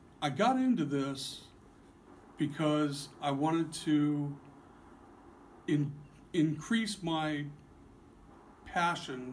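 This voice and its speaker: With audible room echo, a man speaks at a very slow pace, his voice somewhat breathy and fairly high in pitch. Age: 60s. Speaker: card shop owner. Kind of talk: interview. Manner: halting.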